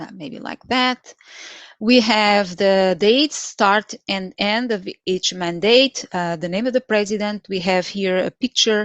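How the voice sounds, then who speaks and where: A woman with a Portuguese accent at medium pitch and a very slow pace, the sound dry and close with no echo over a quiet background. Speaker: Excel trainer. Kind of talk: live tutorial. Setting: live stream. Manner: halting, many fillers.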